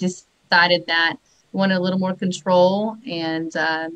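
A bright, sharp tone in a Southern US accent, monotone and flat in intonation, at a moderate pace. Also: woman. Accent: Southern US accent, noticeable. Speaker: mortgage branch manager. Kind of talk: casual live-stream interview. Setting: live video stream.

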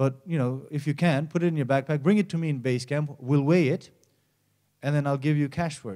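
Over a quiet background, a man speaks fairly quickly in a dark, mellow tone with fairly even intonation. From Nepal. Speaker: mountaineer and environmental campaigner; conference speaker. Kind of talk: conference presentation. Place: stage. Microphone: handheld.

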